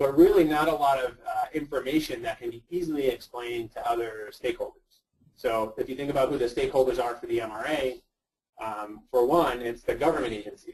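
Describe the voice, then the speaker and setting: Here a man with an American accent uses an ordinary speaking voice, fairly high in pitch with ordinary pitch variation, at a fairly quick pace. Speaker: GIS researcher and search and rescue volunteer. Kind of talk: webinar presentation. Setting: online webinar.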